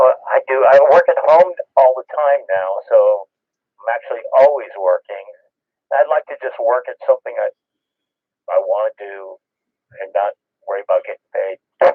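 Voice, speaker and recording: A man speaks with big swings in loudness and long, frequent pauses. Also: moderate pace. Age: 60s. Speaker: ham radio operator. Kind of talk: casual chat. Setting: radio transmission.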